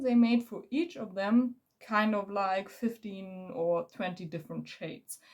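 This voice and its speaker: Somewhat breathy, a woman with a German accent speaks at a fairly slow pace in a fairly high pitch with ordinary pitch variation. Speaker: beauty vlogger. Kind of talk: makeup tutorial. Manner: halting; casual.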